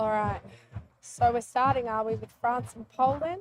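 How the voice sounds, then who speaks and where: Fairly even in intonation, a woman speaks at a high pitch with an Australian accent. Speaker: livestream commentator. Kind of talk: live commentary.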